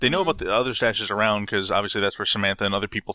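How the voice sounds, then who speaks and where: Playful and bright with a sharp edge, a man's fairly low voice comes through dry and close with no echo in a very clean recording against a silent background. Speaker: podcast co-host. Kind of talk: casual chat. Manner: playful, joking.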